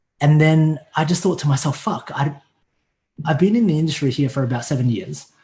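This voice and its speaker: With an American accent, a man speaks at a fairly quick pace in a fairly high pitch with ordinary pitch variation. His voice is somewhat breathy and dark, mellow in tone. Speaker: online fitness coach. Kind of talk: casual chat. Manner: casual, profane.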